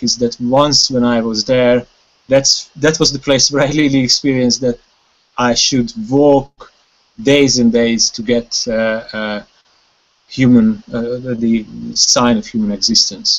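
A man with a Hungarian accent talks at a very slow pace. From Hungary. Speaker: wilderness conservation chairman; guest. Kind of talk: casual chat. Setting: video call. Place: home room. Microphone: video call.

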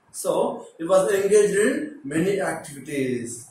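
Amid light background noise and audible room echo, a man talks at a moderate pace. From India, Telugu-speaking states. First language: Telugu. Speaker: teacher. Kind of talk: lecture. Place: classroom. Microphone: phone near.

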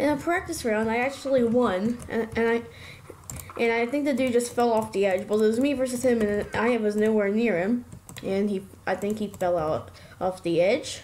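A woman's voice, an ordinary speaking voice, fairly high, moderately paced, with ordinary pitch variation. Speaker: gaming youtuber. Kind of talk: casual gameplay commentary. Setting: recorded gameplay voiceover. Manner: excitable, laughs often.

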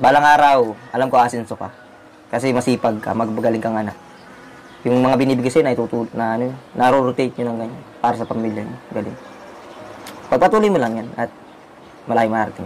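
A man speaks at a very fast pace but with long, frequent pauses, fairly even intonation and big swings in loudness over light background noise. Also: medium pitch for a man. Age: 20s. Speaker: vlogger. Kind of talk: casual chat; advice talk. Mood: warm, approving. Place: home room.

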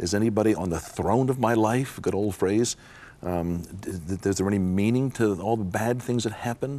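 Here a man speaks at a moderate pace with fairly low pitch and ordinary pitch variation. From United States. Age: 60s. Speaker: psychologist and Bible teacher. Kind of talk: interview. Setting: studio. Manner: reflective. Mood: reflective, earnest. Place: studio. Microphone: lapel.

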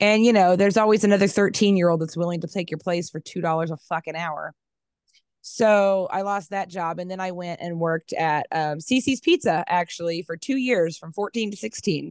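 A woman with an American accent speaks at a moderate pace with a fairly low pitch and ordinary pitch variation. The sound is dry with no echo, and the background is quiet. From Kansas. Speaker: crafter and mother; podcast guest. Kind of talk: casual chat. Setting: video call. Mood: blunt, relaxed, sometimes heated. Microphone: headset.

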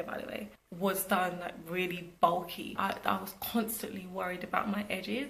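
A woman speaks with a British accent. Her intonation stays fairly even. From Britain. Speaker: vlogger and entrepreneur. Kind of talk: casual vlog talk to camera. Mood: cheerful, animated.

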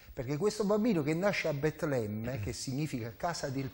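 A man's somewhat breathy voice moves through very wide pitch swings. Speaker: pastor. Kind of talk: panel discussion. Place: studio. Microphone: lapel.

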